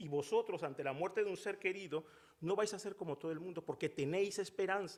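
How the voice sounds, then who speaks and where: A man speaks at a moderate pace. His voice is high in pitch. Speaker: preacher. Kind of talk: sermon. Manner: conversational, humorous asides.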